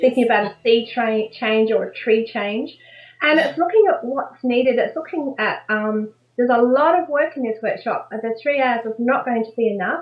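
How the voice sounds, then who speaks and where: A high-pitched woman with an Australian accent, at a moderate pace and with ordinary pitch variation. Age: 60s. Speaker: life coach. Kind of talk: interview answer.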